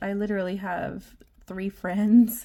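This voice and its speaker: A woman's fairly slow speech in an Australian accent, with fairly even intonation. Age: 30s. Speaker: budgeting vlogger. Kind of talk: casual vlog talk. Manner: hesitant, many ums.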